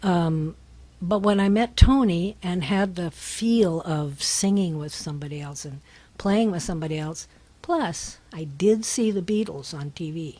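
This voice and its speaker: A woman with a Californian accent has a dark, mellow tone and a somewhat breathy quality. Her pitch is fairly low with ordinary pitch variation, and her loudness swings widely. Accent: American, Californian. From Northern California, Berkeley. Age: 80s+. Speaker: singer-songwriter. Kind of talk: radio interview. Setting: radio studio.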